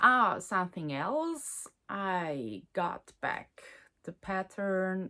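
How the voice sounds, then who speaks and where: On a very clean recording with a silent background, a woman with a Swiss German accent speaks very slowly in a medium pitch, her bright, sharp tone carrying lively intonation. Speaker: knitting podcaster and designer. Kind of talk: casual chat. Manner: halting, many fillers.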